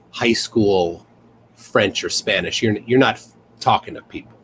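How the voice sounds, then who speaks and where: Noticeable background noise underlies a man talking at a moderate pace with an American accent. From United States. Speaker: guest, content creator. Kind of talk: casual chat.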